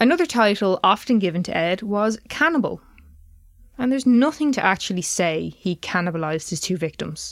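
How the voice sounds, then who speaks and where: The speaker has an Irish accent. The pitch swings very widely. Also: woman, medium pitch for a woman, fairly quick pace. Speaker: true crime podcast host. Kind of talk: casual chat with scripted case narration.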